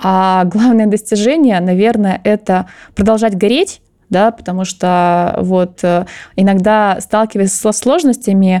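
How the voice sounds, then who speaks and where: A woman speaks at a fairly slow pace with a dark, mellow tone. Her medium pitch follows a fairly even intonation. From Russia, Chita, Zabaikalsky Krai. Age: 30s. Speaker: finance director. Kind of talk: interview.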